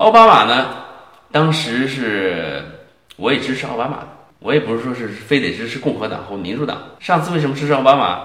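Amid noticeable background noise and audible room echo, a man with a medium pitch talks at a fairly quick pace with lively intonation and big swings in loudness. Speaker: Chinese immigrant commentator. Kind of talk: casual chat.

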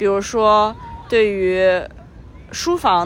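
A woman speaks very slowly in a fairly high voice. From Qingdao, Shandong, China. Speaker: podcast co-host, remote worker. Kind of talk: casual chat. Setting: outdoors, recorded while walking.

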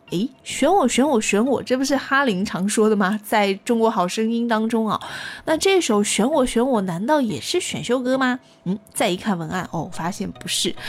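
A woman speaks at a fairly high pitch with very wide pitch swings. Noticeable background noise runs beneath her. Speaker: radio host. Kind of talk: music chart show presenting.

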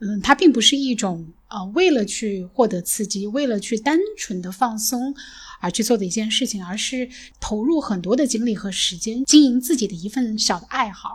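With a fairly high pitch and a somewhat breathy quality, a woman speaks with lively intonation in a very clean recording against a silent background. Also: moderate pace. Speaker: podcast host. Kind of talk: casual chat.

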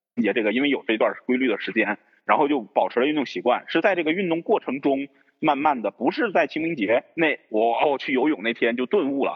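Talking at a very fast pace, a man speaks. His intonation is lively. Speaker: podcast co-host. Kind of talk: casual chat.

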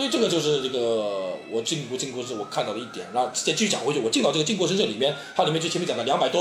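Audible room echo and noticeable background noise surround a man speaking at a very fast pace with very wide pitch swings. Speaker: former student in Japan, guest commentator. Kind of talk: casual discussion.

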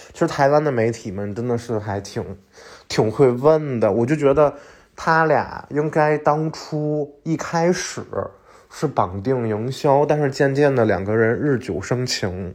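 The background is quiet as a man speaks in an animated tone. His pitch is medium, with ordinary variation. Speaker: podcast host. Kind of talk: casual solo monologue. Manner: fast.

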